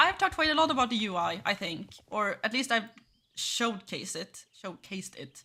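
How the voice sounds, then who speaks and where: A woman with a Swedish accent speaks at a fairly high pitch in a bright, sharp tone, with very wide pitch swings and big swings in loudness. The recording is very clean, with a silent background. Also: moderate pace. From Sweden. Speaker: gaming streamer, game company employee. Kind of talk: gameplay livestream commentary. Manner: casual, hesitant with fillers.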